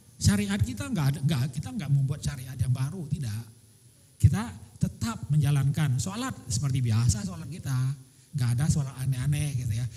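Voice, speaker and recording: Here a man talks with some breathiness. His tone is dark and mellow. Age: 60s. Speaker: religious teacher answering questions at a seminar. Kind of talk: Q&A answer at religious seminar.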